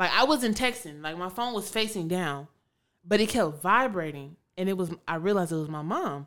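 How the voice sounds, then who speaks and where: A woman with an American accent and an ordinary speaking voice talks at a moderate pace and a medium pitch, with lively intonation. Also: very clean recording, silent background. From Chicago. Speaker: podcast co-host. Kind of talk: casual chat.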